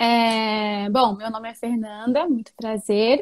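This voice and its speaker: Speaking with fairly even intonation, a woman uses a plain, everyday voice at a fairly high pitch. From Japan, Nagoya (Brazilian family). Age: 20s. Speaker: educator. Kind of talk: interview. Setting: live stream.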